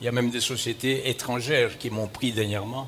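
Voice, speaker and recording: A man speaks at a medium pitch with ordinary pitch variation, with audible room echo and noticeable background noise. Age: 70s. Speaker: bishop. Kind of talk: sermon. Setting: church.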